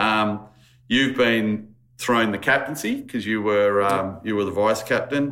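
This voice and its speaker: With an Australian accent, a man speaks at a fairly slow pace in a fairly low pitch, his tone bright and sharp and his intonation fairly even. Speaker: podcast host.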